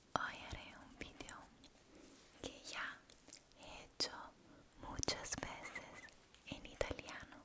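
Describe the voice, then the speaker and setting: A woman whispers at a very slow pace. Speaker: ASMR creator. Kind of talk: soft-spoken ASMR chat. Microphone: studio mic.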